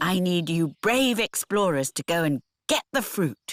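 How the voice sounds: A female-sounding cartoonish character voice with fairly low pitch, at a moderate pace.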